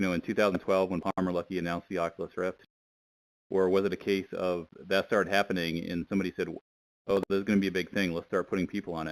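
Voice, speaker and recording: On a very clean recording with a silent background, a man with a very deep, low pitch talks at a very fast pace in monotone, flat intonation, the sound dry and close with no echo. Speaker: audience member asking a question. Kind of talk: interview question. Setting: VR chat livestream.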